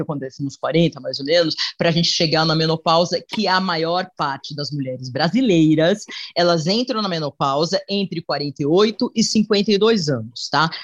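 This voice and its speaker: The pace is moderate. There are hardly any pauses. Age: 50s. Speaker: TV presenter and journalist. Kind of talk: casual interview chat.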